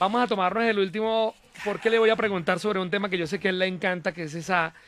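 The man's voice has ordinary pitch variation, and the sound is dry with no echo. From Bogotá. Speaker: radio host. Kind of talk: interview. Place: studio. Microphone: studio mic.

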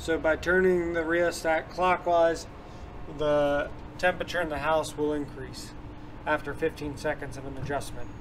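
A man speaks in a monotone, flat intonation at a moderate pace. Light background noise is present. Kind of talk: tutorial. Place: farm machine.

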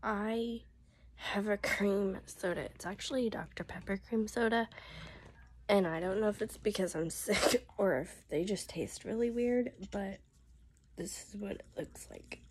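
A woman speaks at a fairly slow pace and sounds somewhat breathy. Her pitch varies in an ordinary way. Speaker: vlogger. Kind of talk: casual vlog chat. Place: home room. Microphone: phone near.

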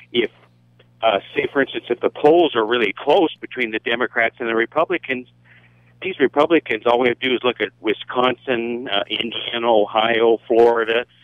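With a dry sound, no echo and a quiet background, a man speaks at a moderate pace with ordinary pitch variation. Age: 60s. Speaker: radio caller. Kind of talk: call-in comment. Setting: phone call. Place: studio.

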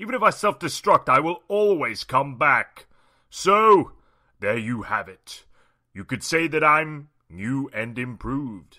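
A man performs a cartoonish character voice at a fairly high pitch and a fairly slow pace. His pitch swings very widely and his loudness jumps a lot, on a very clean recording with a silent background. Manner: smug, menacing.

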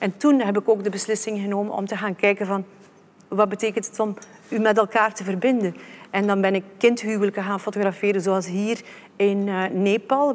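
A woman at a fairly quick pace, in a monotone, flat intonation. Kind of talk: presentation talk. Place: stage.

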